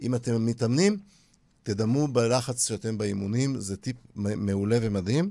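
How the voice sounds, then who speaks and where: At a fairly slow pace, a man talks in a dark, mellow tone. His medium-pitched voice shows ordinary pitch variation. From Israel, Holon. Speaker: radio host, accountant. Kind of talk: radio interview.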